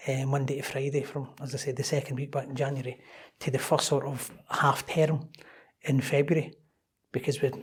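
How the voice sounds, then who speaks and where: A man in a Scottish accent speaks at a fairly quick pace with a fairly high pitch, a somewhat breathy voice, and monotone, flat intonation. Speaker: club operations manager. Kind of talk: interview podcast. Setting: in person at a London members club.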